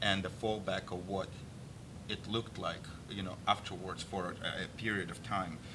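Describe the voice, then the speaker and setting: Audible room echo surrounds a speaker with a Russian accent. The pace is moderate, with ordinary pitch variation. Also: man. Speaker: political activist and army veteran. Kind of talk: political interview discussion. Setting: studio. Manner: halting.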